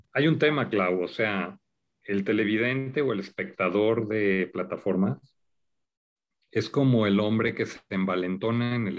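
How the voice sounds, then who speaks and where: A man speaks fairly slowly in a fairly low voice with ordinary pitch variation. The background is quiet. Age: 50s. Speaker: media executive and TV producer. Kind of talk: interview conversation.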